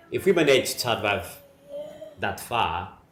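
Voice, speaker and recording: At a fairly slow pace, a man talks with audible room echo and noticeable background noise. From Madagascar. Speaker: migrant father, mining officer. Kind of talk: interview. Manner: halting, with fillers.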